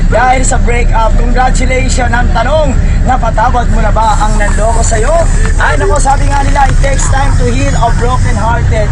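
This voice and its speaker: A man speaks at an extremely high pitch with very wide pitch swings and very even loudness. Music plays in the background. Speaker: bus candy vendor. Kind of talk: DJ-style sales pitch to bus passengers. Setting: on a moving bus with passengers. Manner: lively, jokey, radio-DJ-like.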